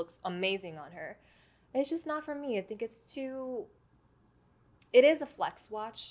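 A high-pitched woman's voice, fairly slow, with long, frequent pauses, big swings in loudness and very wide pitch swings. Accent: American. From New York City (the Bronx). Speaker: watch collector and YouTuber. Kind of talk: casual interview chat.

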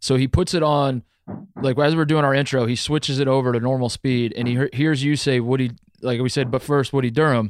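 Medium in pitch and with an American accent, a man talks with fairly even intonation and very even loudness. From US Midwest. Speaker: sports podcast host. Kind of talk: casual chat. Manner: mumbles.

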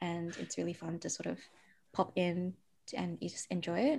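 A dark, mellow tone with vocal fry at a moderate pace, on a very clean recording with a silent background. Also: woman. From Perth, Western Australia. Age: 30s. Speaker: autoimmune coach. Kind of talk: casual interview chat. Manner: animated.

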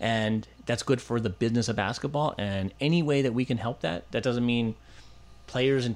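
A man with an ordinary speaking voice at medium pitch, fairly quick pace and ordinary pitch variation. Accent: American. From Los Angeles, US. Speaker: sports agent and Olympic bid executive. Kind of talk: casual interview chat.

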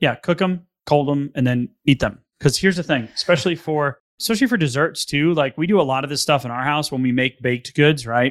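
In a very clean recording with a silent background and a dry, close sound with no echo, a man speaks fairly quickly at a fairly high pitch with ordinary pitch variation. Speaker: podcast host. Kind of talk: casual chat. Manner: fast.

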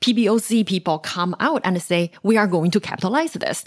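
Fairly quick speech from a woman at a medium pitch, with ordinary pitch variation. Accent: Chinese. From China. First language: Mandarin Chinese. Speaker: economics researcher and author. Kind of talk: podcast interview.

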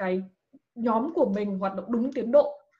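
A woman's fairly high, somewhat breathy voice moves with lively intonation. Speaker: scholarship advice page creator, former student abroad. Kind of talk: casual interview.

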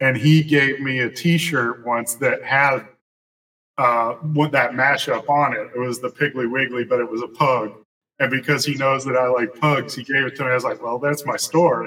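Here a man talks in a Southern US accent with a bright, sharp tone. His intonation is fairly even and his pace moderate. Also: medium pitch for a man. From West Tennessee (Jackson). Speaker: comic book artist. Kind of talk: casual interview.

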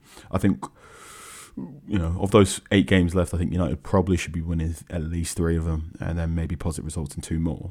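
This man speaks very fast in a very deep, low voice with a dark, mellow tone and fairly even intonation. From London, England. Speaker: football journalist. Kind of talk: casual chat.

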